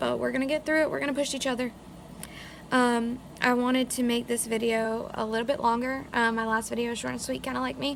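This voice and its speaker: A woman's high voice at a very fast pace, with fairly even intonation. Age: 20s. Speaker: vlogger. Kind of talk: casual vlog. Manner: slurred speech.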